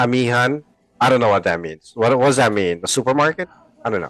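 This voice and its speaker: A man with a Filipino accent speaks at a medium pitch in a dry, close sound with no echo. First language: Tagalog. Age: 40s. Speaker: podcast co-host. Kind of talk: casual chat.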